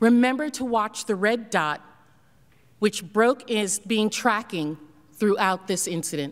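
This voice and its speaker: A woman talks fairly slowly, and her surroundings are quiet. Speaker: presenter. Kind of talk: formal presentation narrating video evidence. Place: hall. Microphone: podium.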